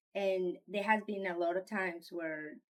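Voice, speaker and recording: A fairly slow pace with a Spanish accent. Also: woman. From Colombia. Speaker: parent. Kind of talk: interview testimony. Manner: halting.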